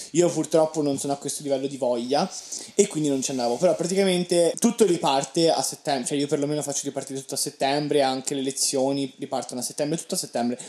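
A man with a fairly high pitch talks at a very fast pace with ordinary pitch variation. Noticeable background noise runs under his voice. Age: young. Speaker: podcast co-host, university student. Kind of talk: casual chat. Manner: animated.

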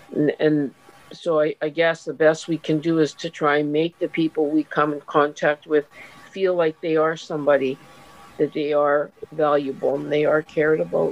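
The delivery is monotone with flat intonation, moving at a moderate pace. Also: woman, very deep, low pitch for a woman. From Canada. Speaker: volunteer and retired teacher.

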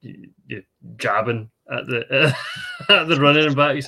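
With a Scottish accent, a man speaks with ordinary pitch variation. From Scotland. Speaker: podcast co-host. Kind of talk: interview.

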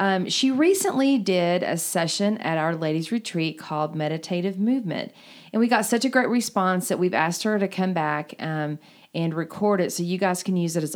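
A woman with a plain, everyday voice talks at a medium pitch and a moderate pace, with ordinary pitch variation, in a very clean recording with a silent background. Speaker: women's pastor and podcast host.

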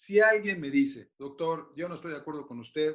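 His tone is bright and sharp. This man's pitch sits fairly high. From Mexico City. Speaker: orthopedic surgeon. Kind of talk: interview.

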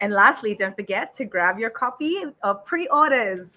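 A woman speaks in a raised, projected voice with a bright, sharp and animated tone, very wide pitch swings and a fairly slow pace. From Australia, Sydney. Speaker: podcast host. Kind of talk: podcast interview. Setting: studio.

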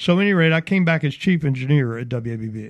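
Over a quiet background, a man with an Alabama accent speaks at a fairly high pitch with lively intonation. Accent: Southern US (Alabama). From US South (Mobile, Alabama). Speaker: radio station owner and programmer. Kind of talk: radio interview. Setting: radio studio.

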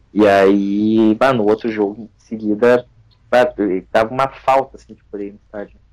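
Speech comes at a moderate pace in a monotone, flat intonation, with big swings in loudness. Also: man, fairly low pitch for a man. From Rio Grande do Sul, Brazil (São Leopoldo). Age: 30s. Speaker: football fan activist. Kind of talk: casual chat.

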